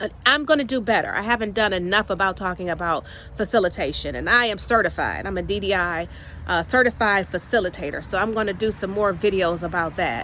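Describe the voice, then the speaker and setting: Talking at a very fast pace, a woman with a medium pitch, a bright, sharp tone and vocal fry sounds animated, her pitch varying in an ordinary way. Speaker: career coach and training consultant. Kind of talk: casual vlog monologue. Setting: outdoors in the yard.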